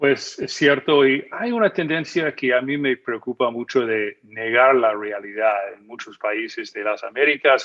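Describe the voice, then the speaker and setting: A man's medium-pitched voice at a fairly slow pace, with ordinary pitch variation and hardly any pauses. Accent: American. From United States. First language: English (speaking Spanish). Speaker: magazine editor and policy analyst. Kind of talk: TV news interview. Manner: hesitant, with many fillers.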